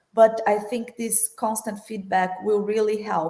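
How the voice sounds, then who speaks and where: At a fairly slow pace, a woman with a Brazilian accent speaks with fairly even intonation. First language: Portuguese. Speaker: corporate finance executive. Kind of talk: panel discussion.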